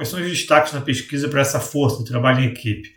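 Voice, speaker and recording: A man is speaking. His voice is somewhat breathy. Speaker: coach and educational video host. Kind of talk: educational talk to camera. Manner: hesitant, frequent fillers.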